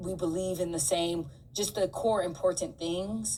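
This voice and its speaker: A woman with medium pitch and ordinary pitch variation speaks at a moderate pace, noticeable background noise around her. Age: middle-aged. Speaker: podcast co-host. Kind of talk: casual chat.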